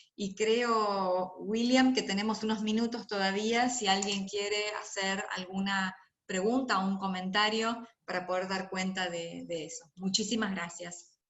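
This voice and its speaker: With audible room echo, a woman at a medium pitch speaks at a fairly slow pace and with fairly even intonation. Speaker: lecturer on intellectual property and health. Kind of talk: lecture.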